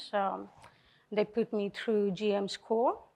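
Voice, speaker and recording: A woman's medium-pitched, monotone voice with flat intonation and a Colombian accent. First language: Spanish. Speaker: car dealership general manager. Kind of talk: panel talk to audience. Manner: halting, many fillers.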